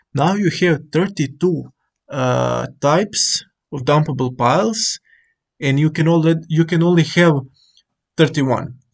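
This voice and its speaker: Speaking with a non-native accent, a man talks at a fairly slow pace with ordinary pitch variation. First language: not English. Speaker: gaming tutorial creator. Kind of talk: tutorial. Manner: halting, many fillers.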